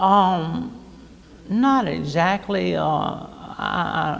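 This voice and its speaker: With an American accent, a man speaks amid audible room echo and noticeable background noise. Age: 50s. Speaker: author. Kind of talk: interview. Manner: halting, repeats words.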